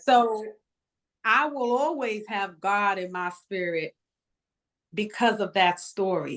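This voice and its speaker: A woman talks at a very slow pace with long, frequent pauses against a quiet background. Her medium-pitched voice has ordinary pitch variation. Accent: American. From Bronx, New York. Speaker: educator, nonprofit founder. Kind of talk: interview answer.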